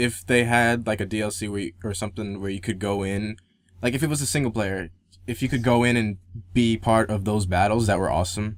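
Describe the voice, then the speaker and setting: Fairly low in pitch, this man speaks at a fairly quick pace. His intonation is fairly even. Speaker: gaming podcast co-host. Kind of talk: casual chat. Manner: fast.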